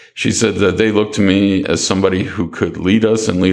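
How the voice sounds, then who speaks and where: A man's very deep, low voice with a Maritime Canadian accent, fairly quick and fairly even in intonation, over noticeable background noise. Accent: Canadian (Maritimes). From Halifax, Nova Scotia, Canada. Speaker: online newspaper editor. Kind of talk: casual interview about news and politics.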